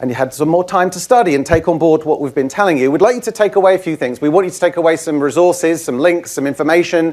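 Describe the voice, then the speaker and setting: Words come at a very fast pace, with hardly any pauses. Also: man, high pitch for a man, ordinary pitch variation. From UK. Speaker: IT trainer. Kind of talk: conference presentation. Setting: stage with audience.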